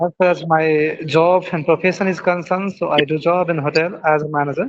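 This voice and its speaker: With an Indian accent, the speaker moves at a fairly quick pace against noticeable background noise. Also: man, high pitch for a man. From India, Bihar. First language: Maithili. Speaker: hotel restaurant manager. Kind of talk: English speaking practice conversation. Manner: halting.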